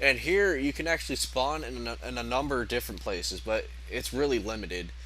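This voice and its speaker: A man is speaking. There is audible room echo. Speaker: video game reviewer. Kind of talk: gameplay commentary.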